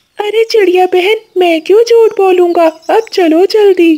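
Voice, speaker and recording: An extremely high-pitched cartoonish character voice at a fairly slow pace. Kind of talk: Hindi cartoon voice acting. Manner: urgent, earnest.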